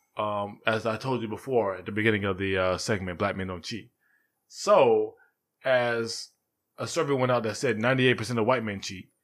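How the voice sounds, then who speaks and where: The recording is very clean, with a silent background. A man with an American accent speaks at a moderate pace and medium pitch in an unremarkable speaking voice. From Sarasota, Florida. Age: 30s. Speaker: podcast co-host. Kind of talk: casual chat.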